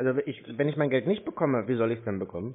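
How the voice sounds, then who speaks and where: Very rapid speech from a man. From Germany. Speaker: scam-baiter. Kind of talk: phone conversation. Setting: phone call. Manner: sarcastic. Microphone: phone line.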